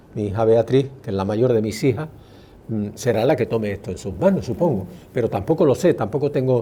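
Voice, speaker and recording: Speaking fairly quickly, a man with a medium pitch and a dark, mellow tone sounds somewhat breathy, his intonation lively. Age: 70s. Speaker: educational psychologist and test author. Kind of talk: interview.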